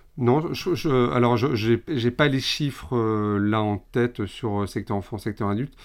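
Hardly pausing, a man with a medium pitch speaks at a very slow pace with ordinary pitch variation on a very clean recording with a silent background. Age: 30s. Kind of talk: interview conversation. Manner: hesitant, many fillers and repetitions.

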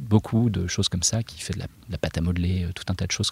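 The speaker talks very fast in a somewhat breathy voice with fairly even intonation. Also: man. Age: 40s. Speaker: illustrator and comic book author. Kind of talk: interview. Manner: hesitant, many fillers.

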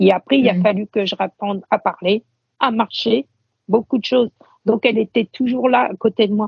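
A woman's somewhat breathy voice, fairly high in pitch, moves at a moderate pace with fairly even intonation. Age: 50s. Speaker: blind guide dog owner. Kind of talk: interview conversation. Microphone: poor sound quality.

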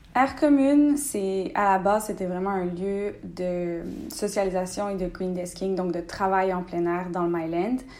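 The voice moves at a fairly slow pace with ordinary pitch variation, and audible room echo surrounds it. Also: woman, medium pitch for a woman. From Quebec, Bas-Saint-Laurent (Rimouski). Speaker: entrepreneur. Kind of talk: interview.

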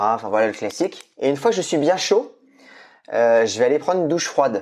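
With a dark, mellow tone, a man speaks over a quiet background. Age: 40s. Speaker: entrepreneur and media founder. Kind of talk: casual interview. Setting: remote recording from home.

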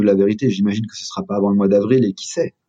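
A man rattles off his words at a very fast pace, his pitch varying in an ordinary way. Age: 30s. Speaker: fitness franchise president. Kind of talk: interview.

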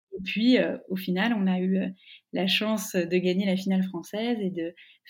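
Fairly even intonation and a somewhat breathy quality. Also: woman. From Burgundy, France (Dijon). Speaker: wine sales manager. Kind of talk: interview. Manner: hesitant, many fillers.

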